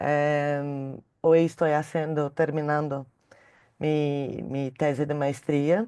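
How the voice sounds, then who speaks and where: Against a quiet background, a woman with a very deep, low pitch and a dark, mellow tone speaks very slowly in a monotone, flat intonation. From Brazil. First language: Portuguese (speaking Spanish). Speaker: feline veterinarian. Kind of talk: panel discussion. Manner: halting.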